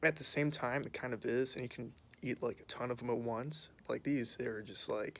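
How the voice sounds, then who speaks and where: A man speaks quietly at a moderate pace, with a medium pitch and fairly even intonation. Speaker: vlogger. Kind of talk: casual chat. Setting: outdoors. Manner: hesitant, filler-heavy.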